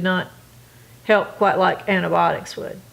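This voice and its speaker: A woman speaks with a North Carolina accent. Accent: US Southern (North Carolina). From North Carolina, Gastonia. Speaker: oral history interviewee. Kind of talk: interview.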